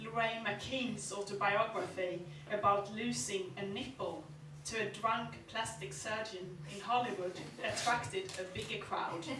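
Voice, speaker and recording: A woman with a Swedish accent speaks at a fairly slow pace, her pitch medium with ordinary variation. Noticeable background noise is present. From Sweden. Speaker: novelist; performance poet. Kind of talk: live short story reading. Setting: live venue.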